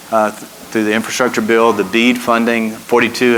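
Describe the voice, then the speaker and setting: A man with a medium pitch talks in a monotone, flat way over noticeable background noise. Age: 60s. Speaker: trade association executive, moderator. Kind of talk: panel interview.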